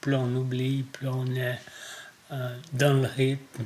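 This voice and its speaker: With noticeable background noise, a man talks at a very slow pace. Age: 60s. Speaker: farmer. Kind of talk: interview.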